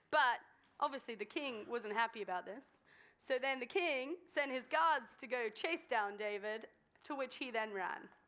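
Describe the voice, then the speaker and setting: With an English accent, a woman talks at a moderate pace in a high, bright and sharp voice with lively intonation. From southern England, Swindon. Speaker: guest speaker. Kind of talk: sermon. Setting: church stage with audience. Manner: hesitant, many ums.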